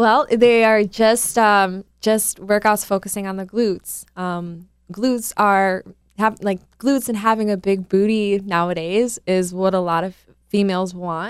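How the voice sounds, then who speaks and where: Speaking fairly slowly with an American accent, a woman has an unremarkable speaking voice and fairly even intonation. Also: medium pitch for a woman. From US Midwest, Milwaukee area. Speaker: fitness trainer. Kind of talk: casual interview.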